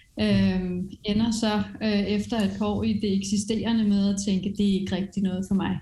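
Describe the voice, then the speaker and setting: A woman speaks at a moderate pace and medium pitch, her dark, mellow tone somewhat breathy, with monotone, flat intonation and very even loudness. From France. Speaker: education executive and entrepreneur. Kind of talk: interview.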